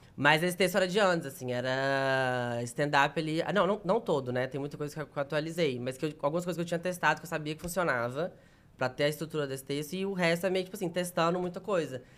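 The man's pace is very fast. His voice sits fairly high in pitch. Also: ordinary pitch variation, hardly any pauses. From Minas Gerais, Brazil (near Bahia border). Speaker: comedian. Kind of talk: casual chat.

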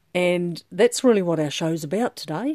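In an Australian accent, the voice is dark, mellow and warm, with lively intonation at a moderate pace. The sound is dry and close with no echo, on a very clean recording with a silent background. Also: woman. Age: 60s. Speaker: podcast host, menopause club founder. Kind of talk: solo podcast monologue. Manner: warm, hesitant with many fillers.

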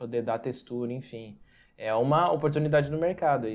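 A man's unremarkable speaking voice, medium in pitch, at a moderate pace with ordinary pitch variation. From interior of São Paulo state, Brazil. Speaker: designer and branding agency owner. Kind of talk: podcast interview.

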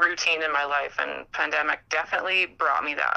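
A bright, sharp tone with vocal fry, fairly even intonation and a moderate pace. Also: woman. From Canada. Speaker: journalism student. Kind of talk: casual interview chat.

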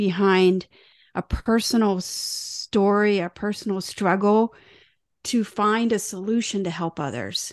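A woman's very slow delivery, fairly even in intonation, in a dry, close sound with no echo. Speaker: podcast co-host. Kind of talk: scripted podcast hosting.

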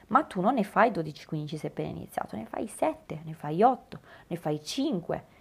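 This woman has a fairly low pitch and an animated tone with vocal fry. Her pitch swings very widely at a fairly slow pace. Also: big swings in loudness. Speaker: podcast host and obstacle racing athlete and coach. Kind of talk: solo podcast monologue.

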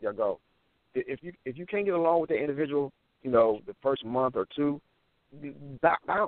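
With a normal speaking voice, a man of medium pitch talks at a fairly quick pace with lively intonation. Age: 50s. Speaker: podcast host. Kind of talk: casual chat.

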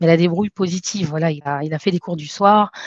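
Fairly quick and with fairly even intonation, a woman with an ordinary speaking voice and a fairly low pitch is recorded dry and close with no echo. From France. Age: 30s. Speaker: entrepreneur. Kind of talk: interview.

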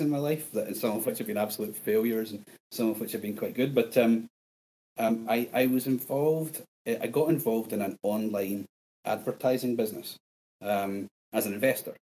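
Speaking with a strong Scottish accent, a man uses a medium pitch, a dark, mellow tone, ordinary pitch variation, and a moderate pace. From Scotland. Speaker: bitcoin podcaster guest. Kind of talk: casual interview chat.

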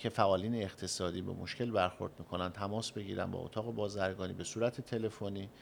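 An unremarkable speaking voice from a man, fairly quick, with ordinary pitch variation. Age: young. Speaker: chamber of commerce president. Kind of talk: radio interview. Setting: studio. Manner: formal.

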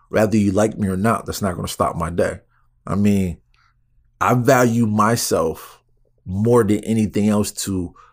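Recorded very cleanly over a silent background, a man with a plain, everyday voice speaks at a fairly slow pace with ordinary pitch variation. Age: 30s. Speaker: podcast host and personal trainer. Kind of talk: solo monologue. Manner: casual, conversational.

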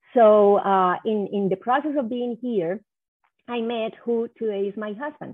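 A woman with a Spanish accent, fairly high-pitched, at a fairly slow pace, with fairly even intonation and long, frequent pauses. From Colombia (Cali). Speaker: economic development executive. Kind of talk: interview. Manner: halting.

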